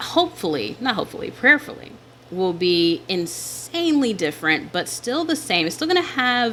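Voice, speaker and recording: In an American accent, a woman speaks at a moderate pace with a bright, sharp tone and lively intonation. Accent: Southern US, slight on camera. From US South. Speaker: digital planner shop owner and YouTuber. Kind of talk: casual vlog talk while planning. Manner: clear enunciation.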